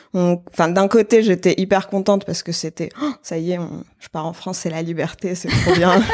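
Speaking at a moderate pace with hardly any pauses, a woman with a medium pitch uses ordinary pitch variation in a plain, everyday voice. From Algeria, Algiers. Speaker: application engineer and artisan brand founder. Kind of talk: casual interview.

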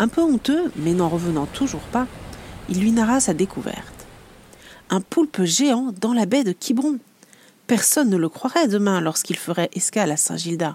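With very wide pitch swings but very even loudness, a woman of medium pitch speaks in a somewhat breathy, dark, mellow and gentle tone, leaving long, frequent pauses. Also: moderate pace. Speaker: podcast host and illustrator. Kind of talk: bedtime story telling, fairy-tale narration; scripted podcast intro. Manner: soft, gentle, storyteller pacing.

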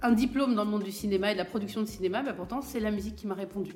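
Over music in the background, a woman speaks very fast in a fairly high pitch with fairly even intonation, and the room echo is audible. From France, Val-de-Marne (Paris suburbs). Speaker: cultural entrepreneur and artist manager. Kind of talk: interview conversation. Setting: studio. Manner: hesitant, many fillers and repetitions.

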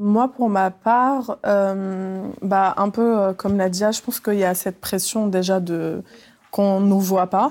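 A woman speaks at a very slow pace with a medium pitch and fairly even intonation on a very clean recording with a silent background. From France (raised from age 8, born in Tunisia). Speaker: journalist and podcaster. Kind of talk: panel discussion.

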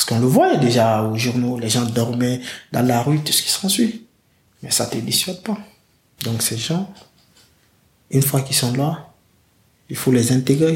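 A man's somewhat breathy voice at medium pitch with ordinary pitch variation, a fairly slow pace and long, frequent pauses. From Guinea. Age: 20s. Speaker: migrant telling his story. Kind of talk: testimony.

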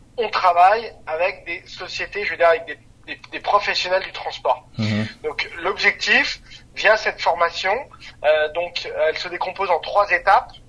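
Over noticeable background noise, a man projects a raised, high voice at a fairly slow pace, with ordinary pitch variation and big swings in loudness. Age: 30s. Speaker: startup founder and CEO. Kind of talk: interview.

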